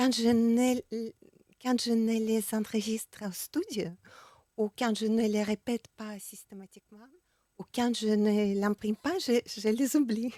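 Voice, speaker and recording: Dry and close with no echo, a woman speaks very slowly in a fairly high pitch with a dark, mellow tone and fairly even intonation. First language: Russian or Ukrainian (speaking French). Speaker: poet and singer-songwriter. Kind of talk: radio interview. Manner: halting, hesitant.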